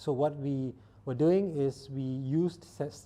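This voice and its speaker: With a non-native accent, a man speaks in a dark, mellow tone at a fairly high pitch. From Singapore. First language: not English. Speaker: startup founder and scientist. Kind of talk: interview monologue. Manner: halting.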